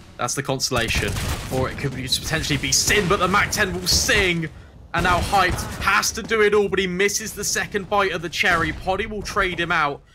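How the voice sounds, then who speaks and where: Over music in the background, a man with a high pitch talks in an animated tone at a fairly quick pace. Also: ordinary pitch variation. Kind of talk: esports match commentary. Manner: animated, excitable play-by-play.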